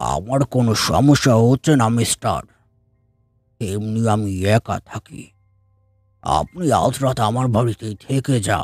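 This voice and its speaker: In a raspy put-on character voice, a man speaks fairly slowly at medium pitch, with dry, close sound with no echo and faint music in the background. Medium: audio drama. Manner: slow, polite, quietly sinister.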